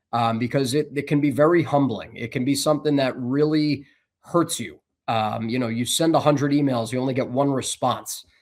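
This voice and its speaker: In a plain, everyday voice, a man with an American accent speaks at a fairly quick pace. His pitch is fairly high and his intonation fairly even. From New Jersey, Bergen County. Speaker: sports broadcaster. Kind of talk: interview.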